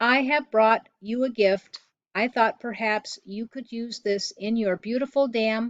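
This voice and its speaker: In a put-on character voice, a female-sounding speaker talks fairly slowly at a fairly high pitch. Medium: read story. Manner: formal, even, no contractions.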